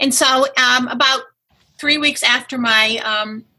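Moderate speed and normal pitch movement in a woman's speech, an unremarkable speaking voice. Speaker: breast density activist, former educator. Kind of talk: interview, personal story.

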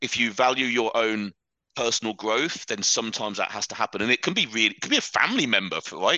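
Over a quiet background, a man with a British accent talks at a very fast pace in a medium pitch with ordinary pitch variation, his bright, sharp tone captured in a dry, close sound with no echo. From England, Leicestershire. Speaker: fitness coach, podcast host. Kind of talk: interview guest, casual chat.

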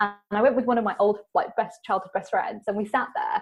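A woman with a British accent and a fairly high voice. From England. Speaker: podcast host, guest on spiritual podcast. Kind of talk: interview conversation about spirituality.

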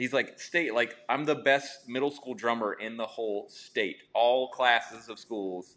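With an ordinary speaking voice, a man talks at a moderate pace, his medium pitch showing ordinary pitch variation. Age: 40s. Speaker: custom home builder and YouTuber. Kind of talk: casual interview chat.

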